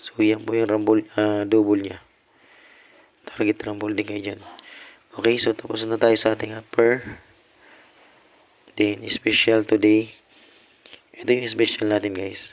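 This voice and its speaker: With long, frequent pauses, a man talks in a monotone, flat intonation. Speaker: lottery tips streamer. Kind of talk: casual livestream tips. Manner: casual, repetitive fillers.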